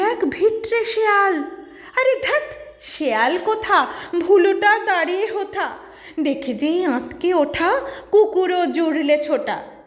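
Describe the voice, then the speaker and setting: Against noticeable background noise, a woman speaks in an extremely high voice. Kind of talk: poetry reading.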